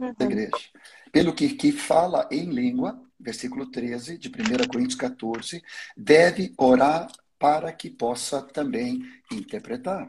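A man's fairly high-pitched voice at a fairly slow pace, with very wide pitch swings and long, frequent pauses. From Sweden. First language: Swedish (speaking Portuguese). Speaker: pastor. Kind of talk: teaching in a livestream interview. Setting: online livestream.

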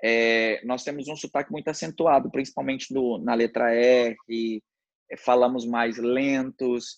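Fairly slow and with fairly even intonation, a man speaks at medium pitch. The sound is dry and close, with no echo. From Brazil, Mato Grosso do Sul (Paranaíba). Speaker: podcast guest, native of the state. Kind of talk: casual interview. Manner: halting, many false starts.

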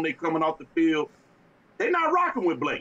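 Through noticeable background noise, a man speaks in a high voice with ordinary pitch variation. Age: 40s. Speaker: sports talk co-host. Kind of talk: casual sports talk. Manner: animated.

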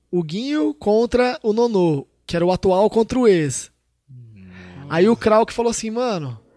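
A high-pitched man at a fairly slow pace, with big swings in loudness and a dry, close sound with no echo. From interior of São Paulo state, Brazil (Tupã). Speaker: rap battle organizer. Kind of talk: casual chat.

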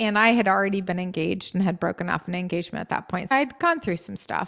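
This woman has a normal speaking voice and an American accent. She talks at a fairly quick pace with a medium pitch. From US New England, Maine. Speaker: podcast guest, writer and public speaker. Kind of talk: casual interview chat. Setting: video call.

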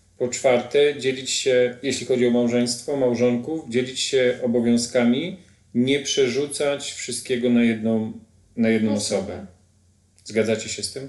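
A man with an unremarkable speaking voice, medium pitch, fairly even intonation and a fairly slow pace. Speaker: podcast host. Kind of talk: interview.

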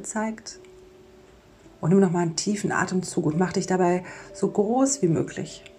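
Her intonation barely shifts from line to line. Behind the female speaker, background noise is easy to hear. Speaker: podcast host and mindfulness coach. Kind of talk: guided meditation. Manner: soft-spoken.

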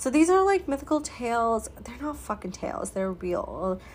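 With lively intonation, a woman uses a normal speaking voice at a moderate pace. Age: 30s. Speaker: podcast host, spiritual healing coach. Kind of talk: solo podcast monologue. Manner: casual.

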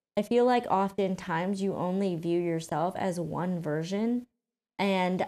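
With a General American accent, a woman talks at a fairly slow pace. Her medium-pitched voice has a dark, mellow tone. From Colorado, US. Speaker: podcast host. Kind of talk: personal monologue. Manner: casual, with fillers.

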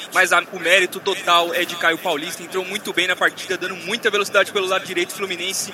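Over noticeable background noise, a man talks at a very fast pace in a raised, projected voice, high-pitched and with an animated, enthusiastic tone. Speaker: radio match commentator. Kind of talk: live football commentary. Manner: animated, enthusiastic analysis.

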